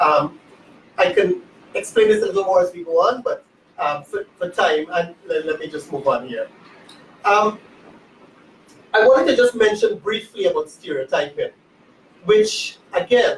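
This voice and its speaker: Long, frequent pauses break up a man's speech. His pace is otherwise moderate. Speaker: legal academic panelist. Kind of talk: panel presentation. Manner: halting.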